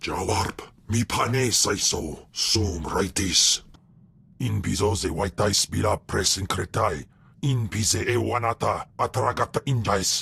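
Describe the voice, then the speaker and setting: In a put-on character voice, the speaker goes at a fairly slow pace with very even loudness. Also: man, fairly low pitch for a man. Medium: video game. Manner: speaks only an alien language.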